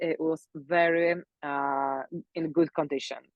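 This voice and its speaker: Speaking with a Polish accent, a woman with a fairly low voice goes at a fairly slow pace with ordinary pitch variation. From Poland. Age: 30s. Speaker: pilates instructor and mobility coach. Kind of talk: live talk interview. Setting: live stream. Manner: halting, many fillers.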